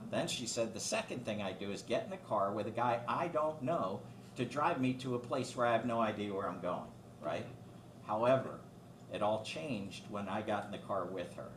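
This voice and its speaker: Noticeable background noise and audible room echo surround a man who speaks at a fairly quick pace with ordinary pitch variation. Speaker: guest speaker on aging and finance. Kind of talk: talk to a club with Q&A. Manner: fast.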